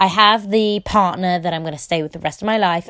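A woman with a British accent speaks in an animated tone at a fairly low pitch, with ordinary pitch variation. The recording is very clean, with a silent background. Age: 20s. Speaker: podcaster. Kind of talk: casual solo monologue. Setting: alone in a room at home.

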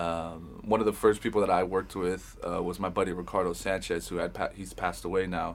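A man with an American accent speaks in a very deep, low voice with vocal fry, at a fairly quick pace with hardly any pauses. The recording is very clean, with a silent background. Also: fairly even intonation. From Los Angeles, Hollywood. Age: 30s. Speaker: music producer and engineer. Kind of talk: casual interview chat.

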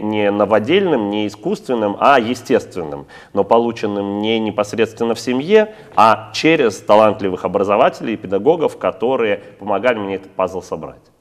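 Using an unremarkable speaking voice, a man speaks at a moderate pace with a fairly low pitch and ordinary pitch variation. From Russia, St. Petersburg. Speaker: rabbi and community head. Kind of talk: interview.

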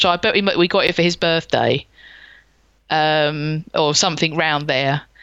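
A woman talks with a London accent. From South London. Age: 40s. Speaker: gaming podcaster. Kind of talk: casual chat. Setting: home studio.

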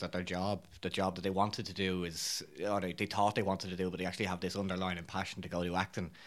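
On a very clean recording with a silent background, a man with an Irish accent speaks at a very fast pace. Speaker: actor. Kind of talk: casual interview. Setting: studio.

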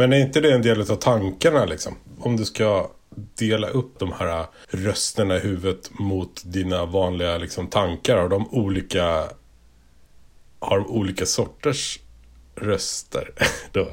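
In a playful tone, a somewhat breathy voice with ordinary pitch variation comes with long, frequent pauses. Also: man, fairly low pitch for a man, fairly slow pace, very clean recording, silent background. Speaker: podcast host. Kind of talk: casual chat. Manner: joking, playful.

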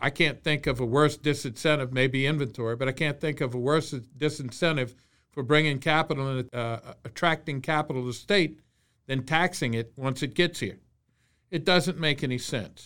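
A man with a Louisiana accent speaks at a moderate pace in a fairly high pitch. His pitch variation is ordinary, and the recording is very clean with a silent background. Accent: Louisiana Southern US. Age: 60s. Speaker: state senator. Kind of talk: interview.

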